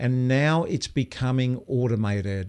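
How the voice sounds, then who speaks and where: A man speaks at a fairly slow pace, his pitch medium with ordinary variation. The background is quiet. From Australia. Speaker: video coach. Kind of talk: live stream Q&A. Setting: live stream. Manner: casual, hesitant with fillers.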